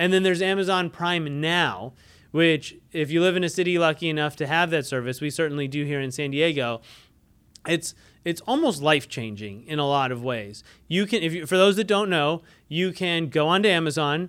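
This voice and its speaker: The recording is very clean, and the background is silent. An ordinary speaking voice goes at a fairly quick pace with ordinary pitch variation. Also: man, fairly high pitch for a man. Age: 30s. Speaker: marketing podcast host. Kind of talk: solo business podcast monologue.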